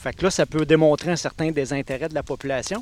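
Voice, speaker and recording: A man talks at a moderate pace with a fairly high pitch. It is an ordinary speaking voice. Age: 40s. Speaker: municipal election candidate. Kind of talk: panel discussion.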